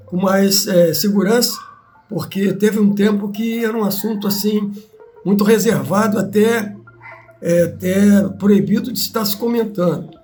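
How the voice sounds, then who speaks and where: A man's high-pitched, monotone, flat delivery at a fairly slow pace, with audible room echo and music in the background. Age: 80s+. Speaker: retired army serviceman. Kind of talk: testimony. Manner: halting.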